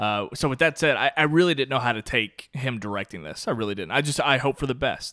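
A man with a bright, sharp tone and vocal fry talks at a very fast pace with lively intonation and hardly any pauses, captured dry and close with no echo on a very clean recording with a silent background. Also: medium pitch for a man. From Kentucky. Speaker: film podcast host. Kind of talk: casual chat.

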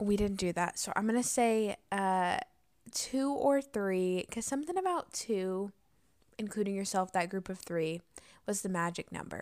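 A woman talks at a fairly slow pace in a normal speaking voice. Her pitch is medium, with ordinary variation. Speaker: podcast co-host. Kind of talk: casual chat.

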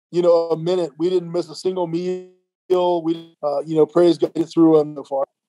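Music plays in the background of a dry, close recording with no echo. The speaker has an American accent and monotone, flat intonation, talking at a moderate pace with hardly any pauses. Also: man, high pitch for a man. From southwest Ohio, US. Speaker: ministry director. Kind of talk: interview. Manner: halting, many fillers.

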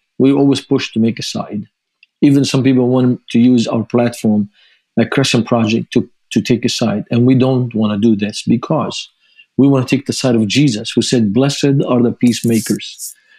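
A man speaks at a medium pitch in a Lebanese accent, his tone dark and mellow. His intonation is fairly even, and the sound is dry and close with no echo. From Lebanon. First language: Arabic. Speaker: ministry founder and author. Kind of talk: interview.

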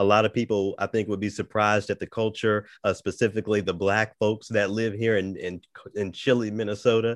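A man talks at a fairly quick pace in a fairly low pitch. His intonation is monotone and flat, and the sound is dry and close, with no echo. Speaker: radio host and classical musician. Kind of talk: casual interview chat. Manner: soft-spoken.

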